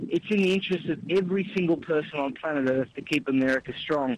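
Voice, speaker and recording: Here a man with an Australian accent talks at a high pitch. His pace is fairly quick. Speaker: author and commentator. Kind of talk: interview. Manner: animated.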